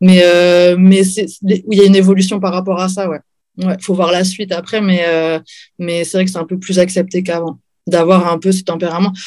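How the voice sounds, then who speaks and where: Her pitch sits in the middle range, with a flat, monotone intonation. This woman talks neither fast nor slow. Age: 40s. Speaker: professional MMA fighter and librarian. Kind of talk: interview.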